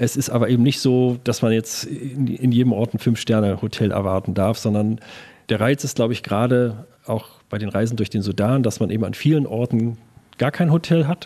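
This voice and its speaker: This man's voice is medium in pitch with a dark, mellow tone. He speaks at a fairly quick pace with ordinary pitch variation. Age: 50s. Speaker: tourism marketing agency owner. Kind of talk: interview. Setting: agency office table in Berlin. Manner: hesitant with fillers.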